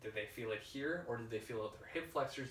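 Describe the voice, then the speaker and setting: Medium-pitched male voice at a fairly quick pace, with noticeable background noise and audible room echo. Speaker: fitness coach and podcast host. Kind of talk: solo podcast talk, instructional. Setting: whiteboard session with laptop. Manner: casual, filler-heavy.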